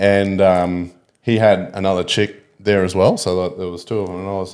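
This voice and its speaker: Speaking at a moderate pace, a man with an Australian accent has a very deep, low pitch. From Australia (Ballina, NSW; then Townsville). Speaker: podcast guest, pool player. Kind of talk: casual chat. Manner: animated storytelling.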